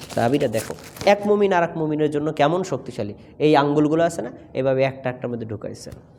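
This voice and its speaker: This man has an ordinary speaking voice with fairly high pitch. His intonation is lively. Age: 30s. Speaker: imam and madrasa lecturer. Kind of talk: sermon. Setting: mosque.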